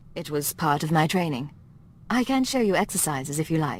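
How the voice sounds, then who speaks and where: Someone does a put-on character voice at a middle pitch and a fairly quick pace. Background noise is clearly heard. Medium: video game. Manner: measured, calm.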